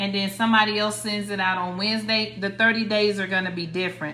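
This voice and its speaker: With an American accent and fairly even intonation, a woman speaks in a room with audible echo. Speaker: credit repair coach, livestreamer. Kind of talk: livestream tutorial. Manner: casual, repetitive with restarts.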